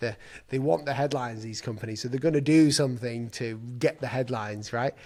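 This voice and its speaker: A man speaks with an English accent. His medium pitch carries fairly even intonation. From England. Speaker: designer and YouTuber. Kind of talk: casual chat.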